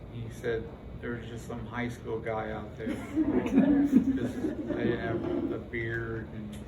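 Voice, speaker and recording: A man's very slow speech comes through noticeable background noise. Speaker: guest speaker with Parkinson's disease. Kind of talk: class presentation.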